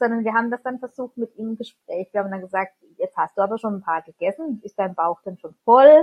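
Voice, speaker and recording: At a fairly quick pace, a woman with a plain, everyday voice speaks at a fairly high pitch. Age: 30s. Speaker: parent. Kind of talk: interview.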